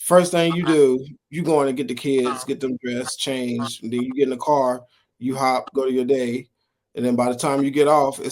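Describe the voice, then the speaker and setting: A man's medium-pitched voice in a monotone, flat delivery. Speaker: podcast co-host. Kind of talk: casual chat. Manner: loud.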